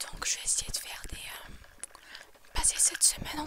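Whispering at a very slow pace, a woman keeps a relaxed tone. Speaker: ASMR creator. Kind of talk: casual talk to camera. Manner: whispered, relaxed. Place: home room. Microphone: earbuds.

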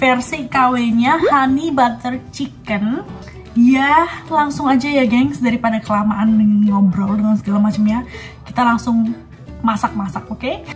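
A woman speaks at a moderate pace with a fairly high pitch and ordinary pitch variation. Faint music plays in the background. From Indonesia. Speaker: vlogger. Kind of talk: casual cooking vlog talk to camera. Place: kitchen. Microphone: phone near.

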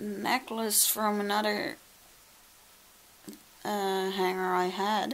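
Pausing long and often, a woman talks at a very slow pace in a flat monotone. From Netherlands. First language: Dutch. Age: 20s. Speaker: vlogger. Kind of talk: casual vlog talk to camera. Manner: emotional, reflective. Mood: a little emotional. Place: home room. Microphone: phone near.

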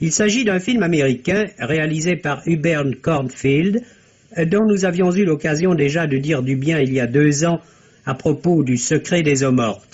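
A man speaks with fairly high pitch. His loudness stays very even. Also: ordinary pitch variation, fairly slow pace. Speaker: film critic. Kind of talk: radio film review, read aloud. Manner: formal, measured, literate. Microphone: old recording.

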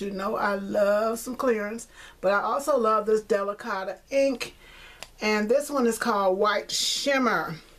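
A woman speaks at a fairly slow pace. Her pitch is medium and her tone fairly bright.

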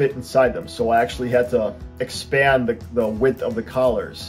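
A man speaks here. Faint music plays in the background. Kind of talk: tutorial. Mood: friendly, light humour.

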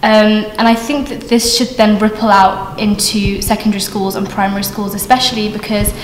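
A woman's fairly high pitch at a moderate pace, fairly even intonation, light background noise and audible room echo. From Australia. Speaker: university student. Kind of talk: vox pop interview. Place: hall.

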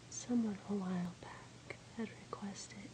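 A woman is whispering. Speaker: ASMR creator. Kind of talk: ASMR relaxation video. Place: home room.

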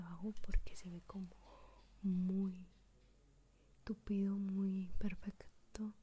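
A woman is whispering. She is soft-spoken, with a gentle tone. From Mexico. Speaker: ASMR content creator. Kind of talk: whispered ASMR tutorial, intimate and close-mic, softly breathy. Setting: home recording with binaural microphone. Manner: slow, soft-spoken, gentle whisper, unhurried.

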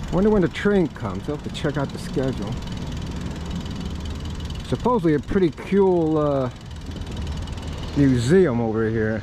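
A moderate pace with long, frequent pauses, a dry sound with no echo, and noticeable background noise. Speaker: cycling vlogger. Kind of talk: casual vlog chat. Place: bicycle. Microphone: phone near.

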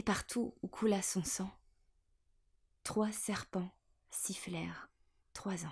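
The speaker goes at a very slow pace, sounding somewhat breathy and using ordinary pitch variation. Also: woman. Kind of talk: poetry reading. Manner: whispered.

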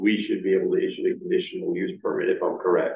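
A man talks fast in a low voice with vocal fry. His intonation is monotone and flat, and there is audible room echo.

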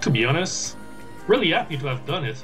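A man with a non-native accent talks over clear music in the background. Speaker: gamer and streamer. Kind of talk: casual gameplay commentary. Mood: proud, relaxed. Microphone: webcam.

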